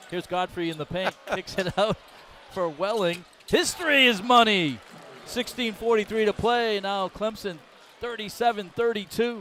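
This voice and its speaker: A man with an American accent speaks in a raised, projected voice, his pitch high for a man and his pitch variation ordinary. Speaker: play-by-play announcer. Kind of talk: live commentary. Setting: broadcast booth. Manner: fast.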